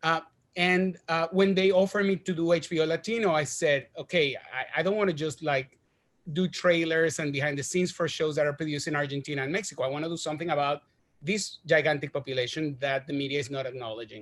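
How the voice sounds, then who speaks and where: Speaking very fast in a Spanish accent, a man uses a fairly high pitch with ordinary pitch variation. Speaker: TV creator and director. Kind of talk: panel interview. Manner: animated, some halting repetitions.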